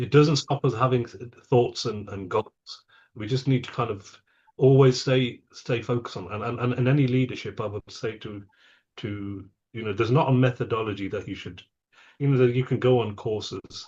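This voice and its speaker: Somewhat breathy and medium in pitch, a man speaks at a moderate pace with fairly even intonation and big swings in loudness. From England. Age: 50s. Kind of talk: interview. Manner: halting, many repetitions.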